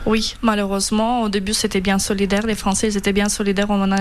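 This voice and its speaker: Monotone, flat intonation in a Ukrainian accent, with audible room echo and noticeable background noise. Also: woman. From Ukraine, Kyiv. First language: Ukrainian (speaking French). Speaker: refugee association president. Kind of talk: radio interview. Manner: hesitant.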